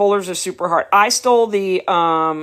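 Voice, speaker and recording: With a New York accent and lively intonation, a woman speaks at a moderate pace in a fairly low pitch. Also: very clean recording, silent background. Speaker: dog breeder. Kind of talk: live stream chat. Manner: casual, conversational.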